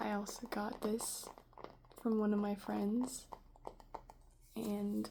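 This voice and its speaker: The speaker is soft-spoken, with noticeable background noise behind the voice. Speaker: ASMR creator. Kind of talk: ASMR soft-spoken rambling.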